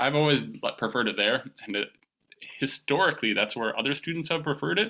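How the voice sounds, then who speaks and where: Talking at a very fast pace, a man with a fairly high pitch uses lively intonation and vocal fry. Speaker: high school calculus teacher. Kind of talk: online class lecture. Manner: casual, conversational.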